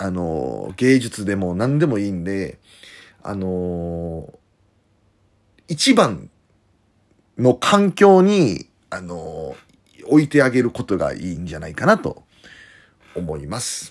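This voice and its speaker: A man speaks at a very slow pace with long, frequent pauses. His fairly low voice has lively intonation and big swings in loudness. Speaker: professional wrestler. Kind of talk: casual monologue. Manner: hesitant fillers.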